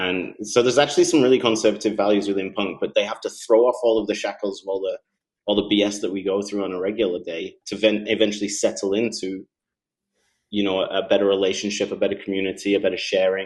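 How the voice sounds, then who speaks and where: With a British accent, a man talks very fast at a fairly low pitch, keeping his intonation fairly even. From UK. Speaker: Bitcoin advocate, former finance professional and teacher. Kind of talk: interview.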